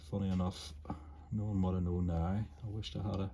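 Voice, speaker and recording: A man's somewhat breathy voice, relaxed in tone and dark and mellow. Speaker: ceramic artist. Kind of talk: casual chat. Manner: trouble pronouncing some words; meandering, relaxed.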